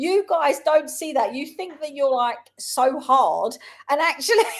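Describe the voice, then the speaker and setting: Animated delivery in a London accent, with big swings in loudness. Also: woman, high pitch for a woman, ordinary pitch variation, fairly slow pace. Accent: London accent, Cockney roots. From South London, England. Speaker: schoolteacher and show co-host. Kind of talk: casual chat.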